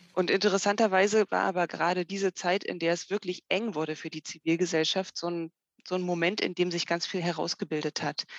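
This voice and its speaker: Dry and close with no echo, a woman's fairly low voice runs at a fairly quick pace in a monotone, flat intonation. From Germany, Harz region (Saxony-Anhalt). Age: 40s. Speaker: political sociologist. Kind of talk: interview. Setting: remote call.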